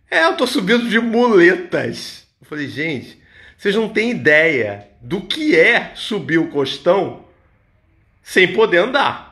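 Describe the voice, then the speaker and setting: A man projects a raised, high voice with a bright, sharp tone and very wide pitch swings. He speaks very slowly against a quiet background. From Niterói, Rio de Janeiro state, Brazil; Rio de Janeiro state, Brazil. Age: 50s. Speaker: massage therapist; massage therapist vlogger. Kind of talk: motivational talk. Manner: casual, conversational. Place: home room. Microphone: phone near.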